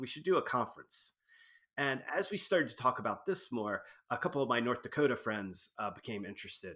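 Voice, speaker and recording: With an American accent, a man talks at a very fast pace in a bright, sharp tone and a fairly high pitch, his pitch swinging very widely. The recording is very clean, with a silent background. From US East Coast, Wilmington, Delaware. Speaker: archaeologist and history professor. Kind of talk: casual interview. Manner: halting, many fillers and repetitions.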